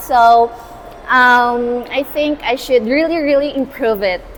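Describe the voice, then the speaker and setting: Noticeable background noise runs under speech delivered very slowly. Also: woman. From Philippines, Cebu. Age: 20s. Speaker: university student. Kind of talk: street interview. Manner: hesitant, many fillers.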